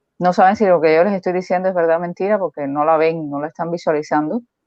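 A woman talks with a fairly low pitch and ordinary pitch variation. Hers is a plain, everyday voice. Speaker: co-host commentator. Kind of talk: casual chat. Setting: live stream.

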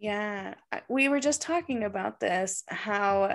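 A woman's unremarkable speaking voice, an unremarkable speaking voice in medium pitch, with ordinary pitch variation and a fairly slow pace. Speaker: podcast host and psychic medium. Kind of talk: guided meditation. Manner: soft and slow; soothing, calm and gentle.

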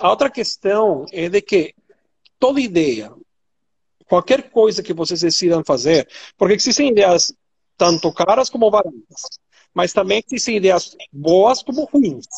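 This man has a high pitch and lively intonation. He talks at a fairly slow pace, with long, frequent pauses. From Venezuela. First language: Spanish (speaking Portuguese). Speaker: compliance executive, ESG expert. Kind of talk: expert interview. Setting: online live stream.

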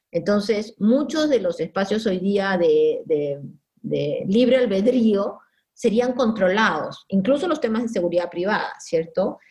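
Speaking at a fairly slow pace, a woman with a medium pitch sounds somewhat breathy and uses lively intonation. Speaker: sociologist. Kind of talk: interview.

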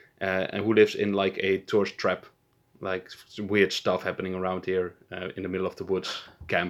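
A man's very deep, low pitch with a Dutch accent, monotone, flat intonation and a moderate pace. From Netherlands. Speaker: podcast co-host. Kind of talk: casual chat.

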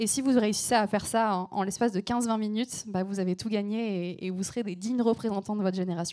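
Talking at a very fast pace with hardly any pauses, a woman in a slight southern French accent keeps a medium pitch, a dark, mellow tone, and fairly even intonation. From southern France, between Aix and Marseille. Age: 20s. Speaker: environmental journalist and activist. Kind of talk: panel discussion on stage. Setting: stage with audience.

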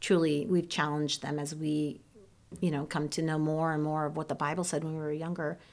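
In a Midwestern US accent, a woman talks at a fairly quick pace with a very deep, low pitch and monotone, flat intonation, on a very clean recording with a silent background. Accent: General American, Midwestern. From Ohio, US Midwest. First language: Serbian. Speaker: church member, mother, children's teacher. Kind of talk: personal testimony in interview.

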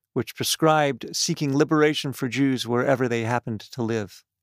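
A normal speaking voice with a Canadian accent, at a moderate pace with ordinary pitch variation. The recording is very clean, with a silent background. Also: man. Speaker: podcast host and cultural programmer. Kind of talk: interview. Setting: studio.

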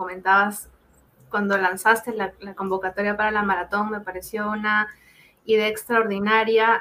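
The woman's voice is fairly high and her pace moderate. Her intonation stays monotone and flat. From Peru. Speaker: data protection lawyer. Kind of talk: expert interview.

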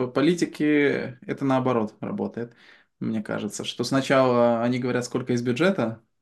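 A man talks in an ordinary speaking voice at a medium pitch and moderate pace. His pitch varies in an ordinary way, and the background is quiet. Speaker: software developer. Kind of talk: casual chat.

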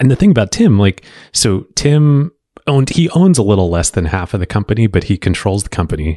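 A man with a dark, mellow tone talks at a fairly quick pace with lively intonation. The sound is dry and close with no echo, over a quiet background. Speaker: podcast co-host, investor. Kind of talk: casual interview chat.

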